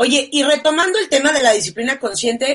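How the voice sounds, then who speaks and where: At a moderate pace, a woman talks loudly with lively intonation. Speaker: talk show host. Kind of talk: live-streamed talk show.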